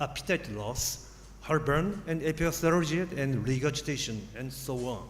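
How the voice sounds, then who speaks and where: With vocal fry and a fairly high pitch, this man talks at a moderate pace with ordinary pitch variation while the room adds audible echo. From Japan. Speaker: surgeon, professor. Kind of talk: lecture. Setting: conference stage with audience.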